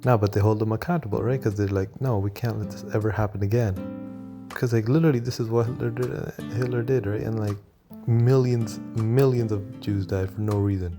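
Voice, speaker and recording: With music in the background, a man speaks fairly quickly at a fairly low pitch with lively intonation. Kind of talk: casual talk to camera, opinion commentary. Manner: whispered; hesitant, many filler words.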